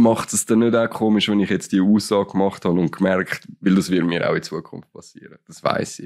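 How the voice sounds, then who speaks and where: A plain, everyday voice from a man with fairly low pitch, fairly quick pace, fairly even intonation, hardly any pauses, and big swings in loudness. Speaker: podcast co-host. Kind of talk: casual chat. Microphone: too far from the microphone.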